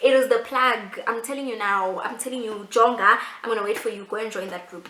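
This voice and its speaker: A woman's fairly high, animated voice at a fairly quick pace, with big swings in loudness, audible room echo and noticeable background noise. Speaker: YouTuber. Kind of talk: casual vlog talk to camera. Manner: fast.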